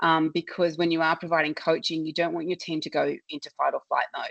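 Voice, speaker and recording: In an Australian accent, a woman with a fairly low pitch sounds dry and close, with no echo, against a quiet background. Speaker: customer service consultant. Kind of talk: webinar presentation. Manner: loud.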